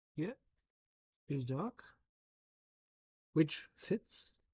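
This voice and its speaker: With a German accent, this woman talks in a fairly low, somewhat breathy voice that swings very widely in pitch. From Germany. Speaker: livestreamer. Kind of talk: casual live stream chat while drawing. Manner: halting.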